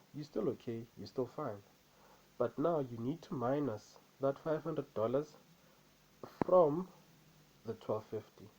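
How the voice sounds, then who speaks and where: A man with a non-native accent speaks in a dark, mellow tone, his pitch varying in an ordinary way. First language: not English. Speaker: trader. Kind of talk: vlog, personal experience. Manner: repetitive, halting.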